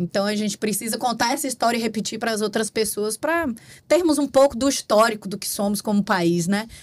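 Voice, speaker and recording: A woman with a Bahian accent talks at a fairly quick pace in a fairly high, somewhat breathy voice. Her pitch varies in an ordinary way. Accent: Bahian Brazilian Portuguese. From Bahia, Brazil. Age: 40s. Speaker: compliance consultant. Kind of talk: interview conversation.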